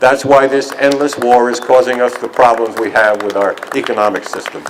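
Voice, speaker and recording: A man's fairly even intonation carries through noticeable background noise. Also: medium pitch for a man, fairly quick pace. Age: 70s. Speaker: activist speaker for a veterans' peace group. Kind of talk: rally speech. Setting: outdoors. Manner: halting.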